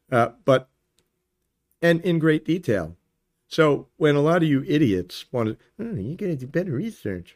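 A man's fairly high voice with very wide pitch swings, at a moderate pace, with long, frequent pauses. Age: 40s. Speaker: video podcaster, political commentator. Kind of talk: monologue to camera, political commentary; angry rant. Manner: angry, sarcastic, profane, insulting; casual, conversational.

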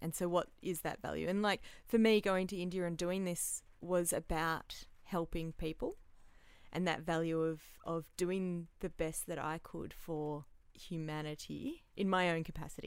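A woman with an Australian accent, fairly low in pitch, fairly even in intonation, at a moderate pace on a very clean recording with a silent background. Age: 30s. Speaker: therapist and aid worker. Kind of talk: casual interview chat. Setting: warehouse with tin roof.

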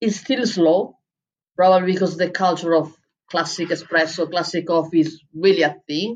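Fairly even intonation in an Italian accent. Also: woman. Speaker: head barista and coffee writer. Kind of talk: interview.

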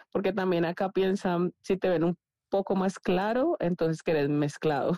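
A woman speaks in a dark, mellow tone with ordinary pitch variation, the sound dry and close with no echo. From Colombia, Cali. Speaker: former volleyball player. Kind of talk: casual chat.

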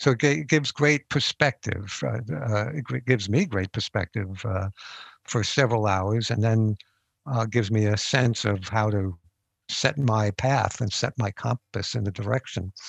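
A man talks at a moderate pace with a fairly low pitch, ordinary pitch variation and a somewhat breathy quality. The sound is dry and close with no echo, against a quiet background. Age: 70s. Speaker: psychoanalyst and couples counselor, author. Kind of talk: interview. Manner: halting, many fillers and repeats.

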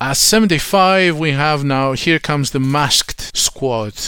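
Noticeable background noise sits behind a man with a fairly high pitch. He talks at a very slow pace with ordinary pitch variation. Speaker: podcast host. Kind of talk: live countdown commentary, rant and banter over a ranking list. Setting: live stream, watching the countdown on screen. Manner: chatty, energetic radio-DJ patter, rattling off ranks and quips; opinionated, jokey, ranting, informal.

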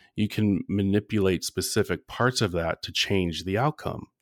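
A man with a fairly low pitch speaks in a plain, everyday voice at a moderate pace with ordinary pitch variation, the recording very clean with a silent background and a dry, close sound with no echo. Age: 40s. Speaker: relationship coach. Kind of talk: casual chat.

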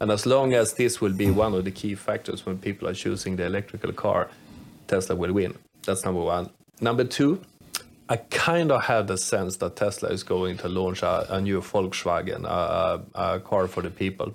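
The speaker is a man with a Swedish accent. He talks at a moderate pace. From Sweden. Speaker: podcast co-host, metallurgist. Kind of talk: casual chat.

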